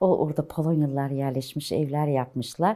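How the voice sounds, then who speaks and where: On a very clean recording with a silent background, a woman talks at a moderate pace in a very deep, low pitch with a dark, mellow tone. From Istanbul, Turkey. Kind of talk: oral history interview answer.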